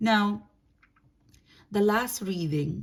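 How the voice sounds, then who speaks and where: A woman with a non-native accent speaks at a very slow pace with ordinary pitch variation. Her voice is somewhat breathy. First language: not English. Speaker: tarot reader. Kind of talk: tarot reading monologue. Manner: casual, conversational; halting, self-correcting.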